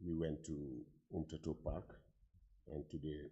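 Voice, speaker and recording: A man's very deep, low pitch and dark, mellow tone, with vocal fry. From Guinea. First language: French. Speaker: conference participant. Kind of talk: conference floor remarks. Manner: halting.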